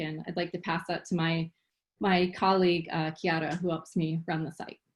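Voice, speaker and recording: A woman talks fairly quickly at a fairly low pitch, her intonation monotone and flat. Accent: Philadelphia. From Philadelphia, US. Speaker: biotech executive and scientist. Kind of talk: panel talk.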